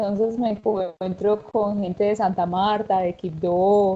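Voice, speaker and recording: A woman speaks with a paisa accent at a medium pitch. Her pace is fairly slow. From Colombia, Antioquia (paisa). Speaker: university teacher. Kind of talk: anecdote telling in panel.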